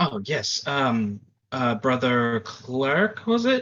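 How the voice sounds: A man puts on a breathy character voice at a medium pitch. He talks very slowly, with ordinary pitch variation.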